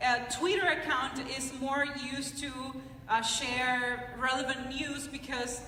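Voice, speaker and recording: A woman with a Nicaraguan accent speaks in a raised, projected voice at a high pitch, moderate pace and monotone, flat intonation. Noticeable background noise and audible room echo fill the recording. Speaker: personal finance blogger and TV presenter. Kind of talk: conference talk. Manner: halting, with many fillers.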